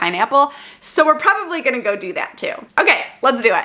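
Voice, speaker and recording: There is noticeable background noise. Against it, a woman speaks with lively intonation. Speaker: vlogger. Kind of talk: product review vlog. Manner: fast.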